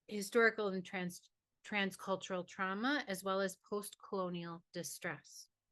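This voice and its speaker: A woman of medium pitch speaks fairly slowly in a bright, sharp tone with ordinary pitch variation. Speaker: university professor and researcher. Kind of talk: webinar presentation. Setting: online webinar. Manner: loud.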